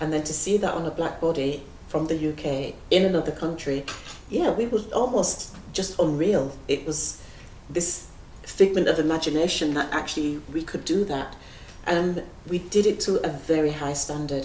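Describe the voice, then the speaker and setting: A woman speaks at a moderate pace in a very deep, low pitch with ordinary pitch variation. The room echoes audibly, and background noise is noticeable. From northern England, Leeds. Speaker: dancer and choreographer, head of a dance school. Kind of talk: interview conversation. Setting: stage with audience in a gallery.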